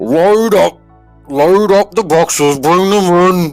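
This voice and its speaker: A booming, put-on character voice sits at a middle pitch and moves at a fairly slow pace. Faint music plays in the background. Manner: shouting orders.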